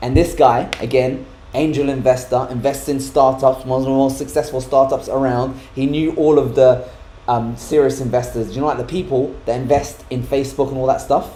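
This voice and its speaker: A man with a British accent talks at a moderate pace and medium pitch in an animated tone, with audible room echo. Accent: weird accent, UK-sounding. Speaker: tech YouTuber. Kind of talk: casual chat. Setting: live stream.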